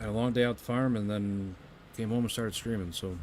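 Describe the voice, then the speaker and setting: Music plays in the background as a man with an American accent speaks at a fairly quick pace. His voice is fairly low in pitch, with fairly even intonation. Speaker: video game streamer. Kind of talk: casual chat.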